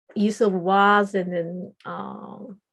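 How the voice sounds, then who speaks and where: A woman speaks very slowly at a medium pitch. Her intonation is flat and monotone. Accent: Japanese. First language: Japanese. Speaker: podcast co-host, public speaking club member. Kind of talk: casual chat.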